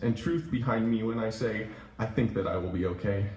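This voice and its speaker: Here is a man with a normal speaking voice and a medium pitch. He talks at a fairly quick pace. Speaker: poet reading own work at open mic. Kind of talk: open mic poetry reading. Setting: coffee shop live audience.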